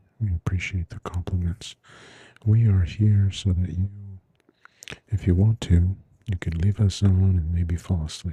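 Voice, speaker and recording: A soft-spoken, somewhat breathy voice with a dark, mellow tone has a dry, close sound with no echo. It moves at a fairly slow pace with fairly even intonation and long, frequent pauses. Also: man. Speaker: ASMR livestream crafter. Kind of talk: casual livestream chat. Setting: livestream.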